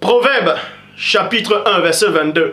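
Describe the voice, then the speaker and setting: A man speaks in a raised, projected voice with ordinary pitch variation. Noticeable background noise is present. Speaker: preacher. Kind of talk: sermon. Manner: loud; animated.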